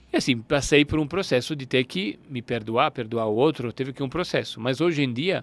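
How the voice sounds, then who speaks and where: This man talks with an Italian accent, recorded with a dry, close sound and no echo. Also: very clean recording, silent background. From northern Italy, Turin. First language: Italian (speaking Portuguese). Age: 40s. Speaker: alchemy teacher. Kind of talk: interview. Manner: halting.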